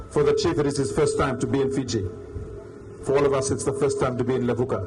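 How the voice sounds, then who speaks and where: With a Ni-Vanuatu accent, a man speaks at a very fast pace in a fairly high voice, his intonation fairly even and his loudness very even, amid audible room echo and noticeable background noise. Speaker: delegation representative. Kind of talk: formal speech. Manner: formal.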